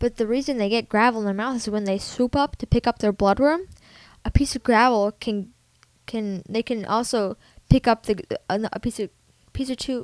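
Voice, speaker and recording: A woman with a fairly high pitch mumbles her words. The recording is very clean with a silent background, and the sound is dry and close with no echo. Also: ordinary pitch variation, moderate pace. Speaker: pet tutorial vlogger. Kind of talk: informal tutorial. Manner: halting, mumbling.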